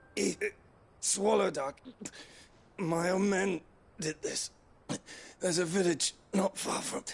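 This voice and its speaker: Using a put-on character voice, a man with a raspy, high pitch talks at a fairly slow pace with fairly even intonation and long, frequent pauses. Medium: video game.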